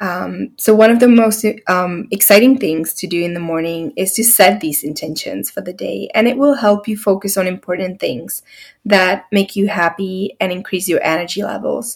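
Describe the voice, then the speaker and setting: Here is a normal speaking voice, belonging to a woman. Her pitch is medium, with ordinary pitch variation. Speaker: podcast host and artist coach. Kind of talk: guided meditation. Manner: slow, calm, soothing, soft-spoken.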